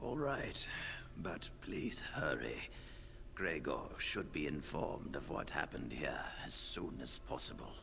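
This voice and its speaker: Whispering in a put-on character voice, a man speaks at a fairly slow pace over loud background noise. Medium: video game. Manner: measured, formal.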